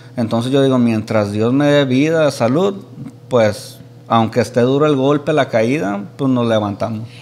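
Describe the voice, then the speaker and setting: A man speaks at a fairly slow pace with very even loudness. His pitch varies in an ordinary way. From Michoacán, Mexico. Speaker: influencer, podcast guest. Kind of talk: casual chat, interview. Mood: relaxed storytelling. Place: studio. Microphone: studio mic.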